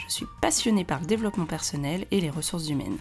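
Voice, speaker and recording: Music plays in the background as a woman speaks at a fairly low pitch. Her intonation is lively and her pace fairly quick. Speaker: certified coach, podcast host. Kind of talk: podcast intro.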